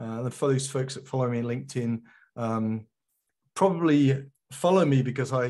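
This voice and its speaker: With a quiet background, a man talks fairly quickly at a medium pitch. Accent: British. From England. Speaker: geospatial industry consultant. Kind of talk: conference talk. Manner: hesitant, many fillers.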